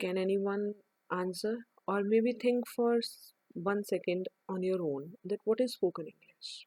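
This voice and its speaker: A woman with an Indian accent speaks at a medium pitch in a dark, mellow tone with ordinary pitch variation. The sound is dry and close, with no echo. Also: fairly slow pace. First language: Hindi. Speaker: English teacher. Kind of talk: online lesson. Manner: halting.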